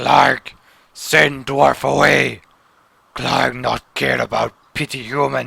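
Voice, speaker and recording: A man uses a raspy, put-on character voice at a very slow pace, with long, frequent pauses. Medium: actual play. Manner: broken third-person speech.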